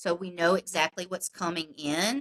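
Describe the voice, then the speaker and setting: In a dry, close recording with no echo, a woman with a South Carolina accent speaks in a bright, sharp tone. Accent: South Carolina Southern US. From South Carolina (Upstate, Spartanburg area). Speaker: political candidate. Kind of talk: interview. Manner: loud.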